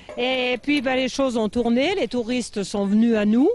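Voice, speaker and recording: A woman speaks in an ordinary speaking voice. Her pitch is fairly high, with ordinary variation. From French Alps, Tarentaise (Savoie). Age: 60s. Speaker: mountain farmer. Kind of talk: interview. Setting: outdoors.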